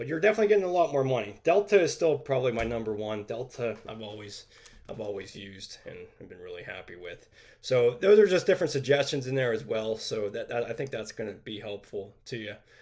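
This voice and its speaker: A man at a medium pitch talks very fast, with very wide pitch swings and big swings in loudness. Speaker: bathroom remodeling teacher. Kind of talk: live stream Q&A. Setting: live stream.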